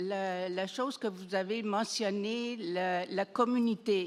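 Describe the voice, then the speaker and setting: Speech comes at a very slow pace with ordinary pitch variation. The recording is very clean, with a silent background. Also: woman. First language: not French (French is third language) (speaking French). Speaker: audience member, cancer survivor. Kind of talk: audience question. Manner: halting.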